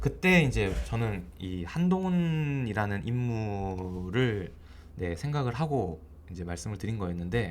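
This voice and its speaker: A man at a very slow pace with very wide pitch swings, in audible room echo. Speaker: stock market commentator. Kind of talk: market commentary video. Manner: casual, filler-heavy.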